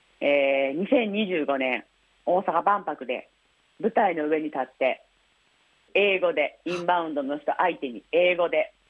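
A woman's lively intonation accompanies her fairly slow delivery. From Osaka. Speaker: blind influencer and massage therapist. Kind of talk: interview. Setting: phone call.

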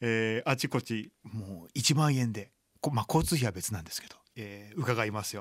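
A man talks in a plain, everyday voice at a moderate pace and medium pitch, with ordinary pitch variation. His loudness swings widely on a very clean recording with a silent background. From Japan, Chiba. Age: 40s. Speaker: blind violinist. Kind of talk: radio interview.

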